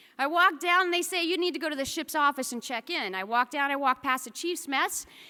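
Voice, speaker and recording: A woman with an American accent speaks in a raised, projected voice, high-pitched with a bright, sharp tone. Her intonation is lively, and the recording is very clean with a silent background. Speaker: military officer. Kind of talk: speech. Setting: stage with audience.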